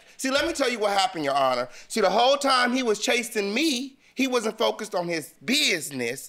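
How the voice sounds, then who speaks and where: A man with a high, bright, sharp voice projects loudly at a fairly quick pace, pitch swinging very widely and hardly any pauses between words. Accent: American. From US West Coast. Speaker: plaintiff in a TV court case. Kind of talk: heated debate. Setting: studio. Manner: animated.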